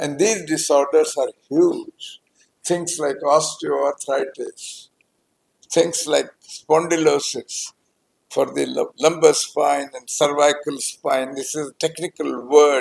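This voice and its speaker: A man speaks at a very slow pace, with big swings in loudness. The sound is dry and close, with no echo. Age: 90s. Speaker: orthopedic surgeon. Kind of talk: press meet.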